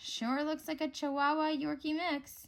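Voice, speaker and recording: Using a put-on character voice, a woman speaks high at a moderate pace. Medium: read story. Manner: warm, gently teasing.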